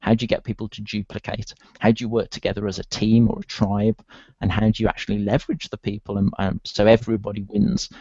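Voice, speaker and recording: A man's fairly low, dark, mellow voice in a strong British accent, monotone and flat, at a very fast pace, with a dry, close sound and no echo. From UK. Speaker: online marketer. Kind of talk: interview.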